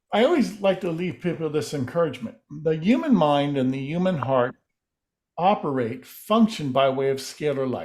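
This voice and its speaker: Here a man talks in an ordinary speaking voice, fairly high in pitch, with lively intonation. The recording is very clean, with a silent background. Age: 60s. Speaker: alternative healing researcher. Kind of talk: interview.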